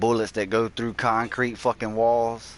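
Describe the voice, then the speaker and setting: The speech moves at a moderate pace. It carries a strong Southern US accent. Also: man. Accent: strong Southern country. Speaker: gaming streamer. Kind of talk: casual live-stream chat. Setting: live stream.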